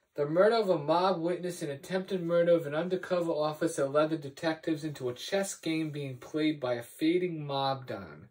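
A man at a fairly quick pace with hardly any pauses and ordinary pitch variation, against a quiet background. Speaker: TV episode reviewer. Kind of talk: casual vlog review. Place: home room. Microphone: camera far.

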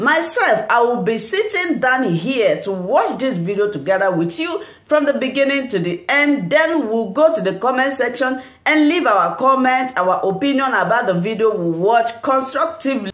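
Speaking at a moderate pace with hardly any pauses, a woman uses a high pitch and very wide pitch swings amid audible room echo. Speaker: YouTube news reaction host. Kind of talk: channel intro and outro.

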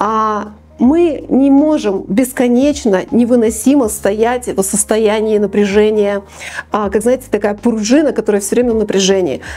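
A woman's fairly high voice with ordinary pitch variation, a fairly slow pace and very even loudness. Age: 50s. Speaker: business psychologist; presenter. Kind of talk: talk to camera. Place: studio. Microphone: lapel.

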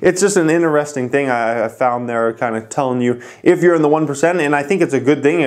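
A man talks at a fairly quick pace. His pitch variation is ordinary, and the background is quiet. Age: 20s. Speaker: finance YouTuber. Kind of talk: casual vlog talk to camera. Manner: casual, with filler words. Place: home room. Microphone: lapel.

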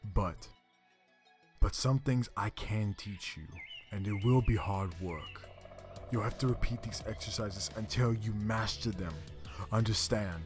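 A man puts on a character voice with a fairly low pitch. He goes at a fairly slow pace with long, frequent pauses while faint music plays in the background. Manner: earnest, commanding.

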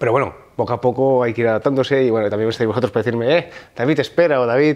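The man's pitch is medium. He speaks at a very fast pace. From Val d'Aran, Catalonia (Spain). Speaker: hunter and firefighter. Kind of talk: casual interview. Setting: outdoors in France. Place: home room.

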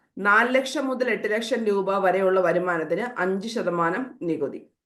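A woman with lively intonation is heard with audible room echo. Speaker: exam coaching teacher. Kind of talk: lecture.

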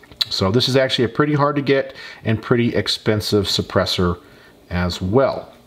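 Here a man at medium pitch and moderate pace has an unremarkable speaking voice with ordinary pitch variation. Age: 40s. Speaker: gun YouTuber. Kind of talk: tutorial. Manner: casual. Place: workshop.

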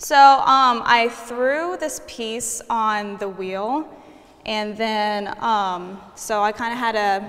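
A woman with a fairly high pitch and an American accent, her pitch varying in an ordinary way. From Kansas. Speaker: art student. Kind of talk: interview. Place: hall. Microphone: lapel.

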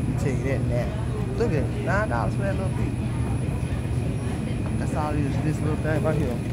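Speech at a fairly quick pace comes through loud background noise. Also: man. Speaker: shopper vlogger. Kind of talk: casual vlog chat. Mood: irritated, complaining about prices. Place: shop. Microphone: phone near.

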